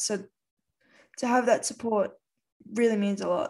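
A woman with an Australian accent. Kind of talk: casual conversation.

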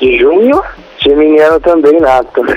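A man speaks at a fairly high pitch with ordinary pitch variation over noticeable background noise. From Brazil, Guarulhos area (São Paulo). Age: 20s. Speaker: caller. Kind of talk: phone-in advice call. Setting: phone call.

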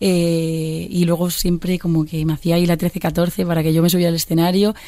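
This woman's voice sits fairly low in pitch. Background noise is noticeable. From Galicia, Pontevedra. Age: 20s. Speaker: singer. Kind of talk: interview. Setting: studio. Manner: halting.

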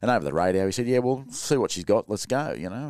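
A man with an Australian accent at a very fast pace, lively intonation, on a very clean recording with a silent background. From Sydney, Australia. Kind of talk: casual interview.

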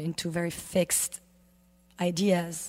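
Monotone, flat intonation from a woman with a fairly low pitch. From Lebanon. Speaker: yoga teacher. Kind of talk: casual interview chat.

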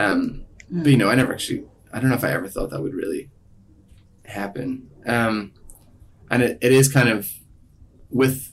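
A somewhat breathy man at a medium pitch, with ordinary pitch variation, a moderate pace and long, frequent pauses. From Ireland. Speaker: singer-songwriter. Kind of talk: interview.

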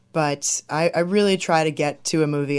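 With a Midwestern American accent, a woman speaks at a very deep, low pitch. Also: very clean recording, silent background. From southwest Michigan. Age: 20s. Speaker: film director. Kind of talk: interview.

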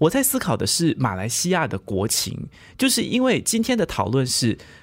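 A man's voice with vocal fry and very wide pitch swings at a moderate pace, on a very clean recording with a silent background. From Malaysia. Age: 20s. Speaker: podcast co-host. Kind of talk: podcast discussion.

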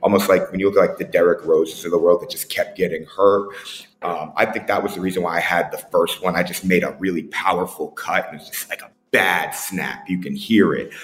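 Noticeable background noise sits behind a man talking at a fairly quick pace. His loudness swings widely. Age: 30s. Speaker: tech entrepreneur and former football coach. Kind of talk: casual interview.

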